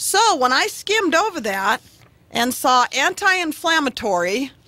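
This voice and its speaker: Over noticeable background noise, a woman speaks at a fairly slow pace in a raised, projected voice, high in pitch with very wide pitch swings. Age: 50s. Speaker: radio show guest. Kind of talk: casual chat.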